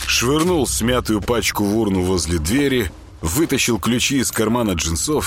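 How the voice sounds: Someone reads in a natural reading voice, the intonation lively throughout.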